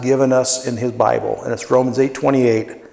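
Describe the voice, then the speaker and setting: Audible room echo is present in the recording. The speaker is a man. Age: 60s. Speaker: pastor. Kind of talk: sermon.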